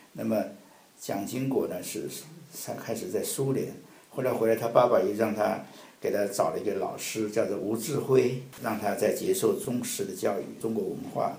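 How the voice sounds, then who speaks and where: The room echo is audible. A man speaks at a moderate pace. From Taiwan (mainland-born, family came from mainland). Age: 70s. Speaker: Taiwan affairs expert, translator. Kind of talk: interview.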